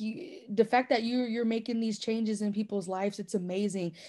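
Against a quiet background, a woman speaks at a fairly quick pace in a fairly high pitch, her tone dark and mellow and somewhat breathy. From Des Moines, Iowa. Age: 20s. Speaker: singer, foster care advocate. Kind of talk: interview answer. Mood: emotional, heartfelt. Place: home room. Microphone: video call.

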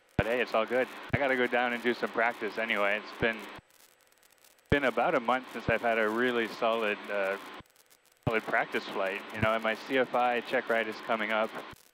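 A man at a fairly quick pace with monotone, flat intonation, dry sound with no echo and noticeable background noise. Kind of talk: casual vlog chat. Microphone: headset.

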